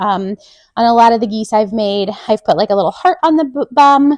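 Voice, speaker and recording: A woman speaks in an ordinary speaking voice, fairly high, with ordinary pitch variation. The recording is very clean, with a silent background and a dry, close sound with no echo. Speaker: sewing pattern designer. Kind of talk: tutorial.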